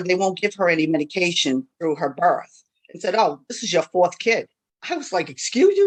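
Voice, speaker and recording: Speaking at a moderate pace with an American accent, a woman's voice moves through very wide pitch swings. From Worcester, Massachusetts, US. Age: 50s. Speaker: panelist, parent leader. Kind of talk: personal testimony. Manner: conversational, animated.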